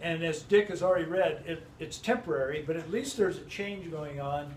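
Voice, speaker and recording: Noticeable background noise and audible room echo around a man's high voice, moderate in pace and ordinary in pitch variation. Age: 60s. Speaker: Bible teacher. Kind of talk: Bible study group discussion. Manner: halting, many self-corrections.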